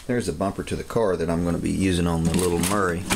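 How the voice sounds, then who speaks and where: Very fast pace over noticeable background noise. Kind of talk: casual vlog chat. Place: garage. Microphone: phone near.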